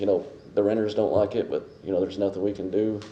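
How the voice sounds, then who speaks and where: Dark and mellow in tone, a voice with an American accent rushes along at a very fast pace amid audible room echo. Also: man. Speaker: public commenter, property owner. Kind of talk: public comment at council meeting. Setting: city council meeting. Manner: halting.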